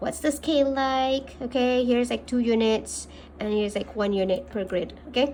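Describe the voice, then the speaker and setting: A woman's high-pitched voice at a moderate pace, with a Malaysian accent. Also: ordinary pitch variation. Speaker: maths teacher. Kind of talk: tutorial.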